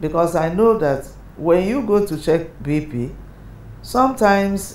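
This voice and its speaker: A woman speaks at a fairly slow pace, her pitch fairly low and her intonation lively. Her tone is dark and mellow, with audible room echo around it. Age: 70s. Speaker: interviewee living with hypertension. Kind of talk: documentary interview.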